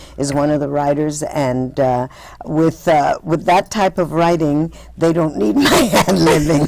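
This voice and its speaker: Using ordinary pitch variation, a woman with an American accent speaks at a fairly slow pace in a very deep, low pitch. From Texas, San Antonio. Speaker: actress. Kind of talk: interview. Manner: halting.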